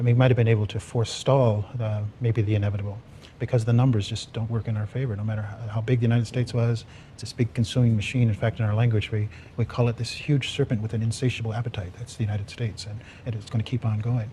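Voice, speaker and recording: Speaking at a very fast pace, a man with a medium pitch and a dark, mellow tone sounds somewhat breathy and keeps a monotone, flat intonation. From Six Nations (Haudenosaunee), Ontario. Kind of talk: panel discussion. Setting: TV studio. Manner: hesitant, many fillers.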